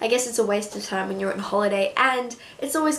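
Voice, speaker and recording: A woman speaks with an Australian accent at a fairly quick pace. Audible room echo can be heard. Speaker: beauty vlogger. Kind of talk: casual chat.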